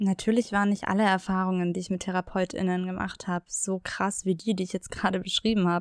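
A woman speaks fairly quickly at a medium pitch in an ordinary speaking voice. The recording is very clean with a silent background and a dry, close sound with no echo. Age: 30s. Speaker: podcast host. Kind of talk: personal testimony. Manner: scripted, read-aloud delivery.

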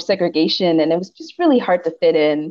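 This woman has a normal speaking voice with an American accent. Her pitch is fairly low and her pace moderate. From Pittsburgh, Pennsylvania. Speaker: PhD student and NASA engineer. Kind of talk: casual chat.

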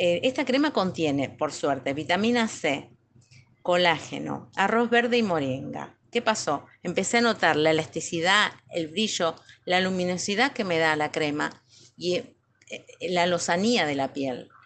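This woman has an ordinary speaking voice with a fairly low pitch. She talks at a fairly slow pace with lively intonation. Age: 40s. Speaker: physical education teacher. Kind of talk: testimony.

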